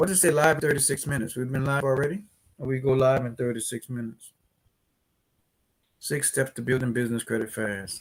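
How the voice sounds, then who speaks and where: Speaking very fast in a New Orleans accent, a man has a somewhat breathy voice at medium pitch with ordinary pitch variation, broken by long, frequent pauses. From New Orleans, Louisiana, US South. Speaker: business credit educator, company CEO. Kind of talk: live stream tutorial. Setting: live stream. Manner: animated.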